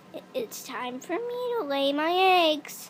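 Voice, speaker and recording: A woman uses a put-on character voice pitched high. Her pitch swings very widely as she goes at a fairly slow pace. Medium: read story.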